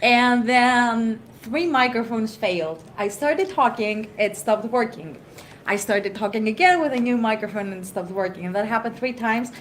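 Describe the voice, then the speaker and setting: A woman talks at a fairly quick pace and a fairly high pitch with lively intonation, over noticeable background noise. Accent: Greek. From Greece. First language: Greek. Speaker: tech conference speaker. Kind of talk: panel discussion.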